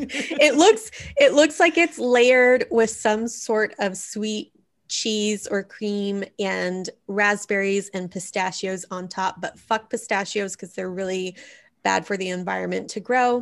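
A woman with a Texas accent, medium in pitch, speaking at a very slow pace with lively intonation against a quiet background. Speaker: podcast co-host. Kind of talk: casual, profane.

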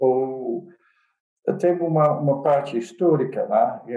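Fairly high in pitch, a man speaks at a very slow pace with a Dutch accent. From Netherlands. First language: Dutch (speaking Portuguese). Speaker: computer science professor. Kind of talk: casual chat. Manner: halting.

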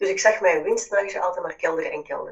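A woman with a Flemish accent. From Flanders, Belgium. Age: 40s. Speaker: business mentor. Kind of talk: casual chat.

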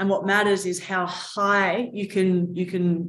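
In an Australian accent, a woman with a medium pitch talks at a very slow pace with fairly even intonation. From Australia, Mornington Peninsula near Melbourne. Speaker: agtech startup co-founder. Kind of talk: interview.

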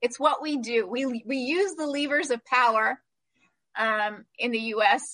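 Raising and projecting her voice, a woman with an American accent speaks at a fairly slow pace in a high pitch, her tone bright and sharp and her intonation lively, with a dry, close sound and no echo. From Palestinian, US-educated. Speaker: human rights lawyer and policy fellow. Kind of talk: conference talk and Q&A.

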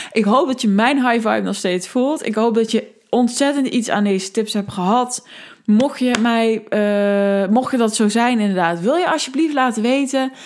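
This woman's voice sits fairly high in pitch. She speaks at a fairly slow pace. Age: 20s. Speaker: podcast host, life coach. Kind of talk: casual solo podcast monologue. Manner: animated.

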